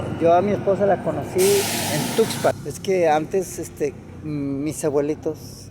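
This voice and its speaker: Over noticeable background noise, a man with a Mexican accent speaks at a fairly slow pace, his fairly high pitch carrying fairly even intonation. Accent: Mexican Spanish (Jalisco). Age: 70s. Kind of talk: interview answer.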